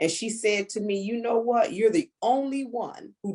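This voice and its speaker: A woman speaks with a fairly high pitch and an animated tone. Her pace is moderate. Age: 60s. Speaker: network marketing team leader. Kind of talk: casual chat.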